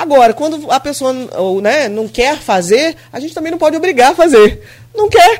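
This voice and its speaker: A high-pitched woman at a moderate pace, with very wide pitch swings and big swings in loudness. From Brazil, São João da Barra (RJ), Grussaí. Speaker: mayor. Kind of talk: radio interview. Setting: radio studio.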